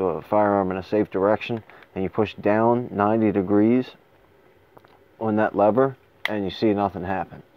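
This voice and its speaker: A man speaks in a fairly low voice at a moderate pace. His intonation stays fairly even. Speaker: firearms reviewer. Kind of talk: tutorial. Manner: halting.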